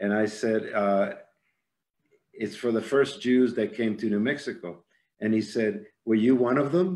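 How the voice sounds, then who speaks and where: A man with medium pitch and ordinary pitch variation talks at a moderate pace. Long, frequent pauses break up his speech, and room echo is audible. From Cuba. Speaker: arts executive. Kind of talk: lecture. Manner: halting.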